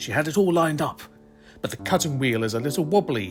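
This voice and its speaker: Music plays in the background. Over it, a man's voice makes very wide pitch swings. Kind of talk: dramatic reading of a social media thread.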